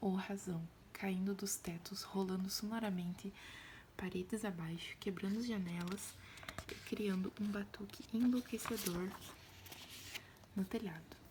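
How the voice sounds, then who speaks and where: Soft-spoken and gentle in tone, a woman talks at a fairly slow pace with long, frequent pauses over noticeable background noise. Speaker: ASMR creator. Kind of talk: audiobook-style reading. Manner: soft-spoken, gentle, ASMR style.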